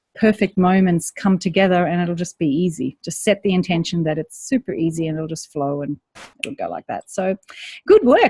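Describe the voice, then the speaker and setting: In a very clean recording with a silent background and a dry, close sound free of echo, a woman talks fairly quickly at medium pitch, her dark, mellow tone somewhat breathy and her pitch variation ordinary. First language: not English. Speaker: online course coach. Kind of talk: live Q&A call. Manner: warm, encouraging.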